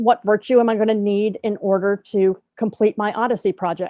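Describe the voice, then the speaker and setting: Here is a woman with a plain, everyday voice. Her pitch is fairly high and her intonation fairly even. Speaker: professor leading teacher training. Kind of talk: online training session.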